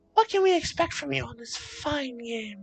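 A man's put-on character voice, raspy and extremely high in pitch, at a moderate pace. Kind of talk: sketchy, dealer-like.

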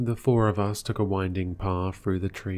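Someone reads in a natural reading voice, the intonation holding fairly even.

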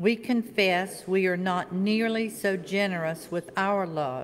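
Against light background noise, a woman talks at a very slow pace. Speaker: worship leader. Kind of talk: reading aloud. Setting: church. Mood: calm, solemn. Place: church. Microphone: podium.

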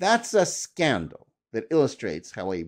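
The background stays quiet. A man speaks at a fairly slow pace. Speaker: commentator. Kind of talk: commentary. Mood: firm, critical. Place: home room. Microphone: studio mic.

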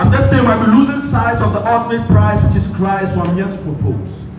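A man is speaking in a room with audible echo. Clear music plays in the background. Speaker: spoken word poet / church minister. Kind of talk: spoken word poetry ministration, church performance. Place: hall.

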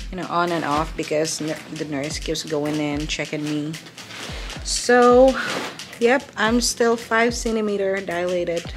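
Faint music plays in the background. The speech moves at a fairly slow pace. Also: woman, fairly low pitch for a woman. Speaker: vlogger in labor. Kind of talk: casual vlog chat. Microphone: phone near.

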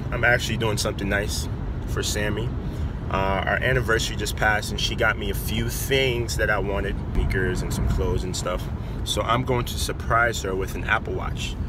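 A man speaks at a fairly quick pace. The sound is dry with no echo, though background noise is loud. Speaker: vlogger. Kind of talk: casual vlog chat. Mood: excited, planning a surprise. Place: car. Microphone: phone near.

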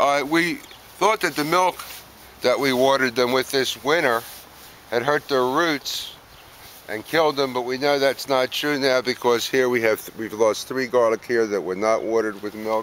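At a moderate pace, a man speaks with ordinary pitch variation. The sound is dry with no echo, over light background noise. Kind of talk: casual garden tour commentary. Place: garden. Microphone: camera far.

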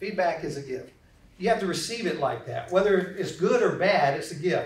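A man with a slight Southern US accent, audible room echo around him. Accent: slight Southern drawl. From US South. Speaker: corporate trainer and speaker. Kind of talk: interactive lecture. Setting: classroom with audience. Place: classroom.

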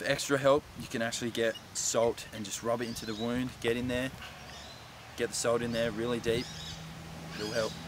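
Flat, monotone delivery at a moderate pace, broken by long, frequent pauses, over noticeable background noise. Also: man, dry sound with no echo. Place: forest. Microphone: camera far.

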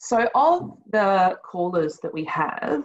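A woman speaks against a quiet background. The sound is dry, with no echo. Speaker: service team leader presenter. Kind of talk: webinar presentation. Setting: video call webinar. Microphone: webcam.

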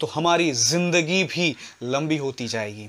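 A man is speaking. His pitch rises and falls by an ordinary amount. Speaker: martial arts coach. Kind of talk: tutorial. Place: home room. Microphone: lapel.

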